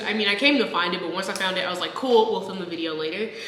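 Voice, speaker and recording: Noticeable background noise behind a voice with an American accent. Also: woman. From Texas. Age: 20s. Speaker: software engineer. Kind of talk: casual talk to camera.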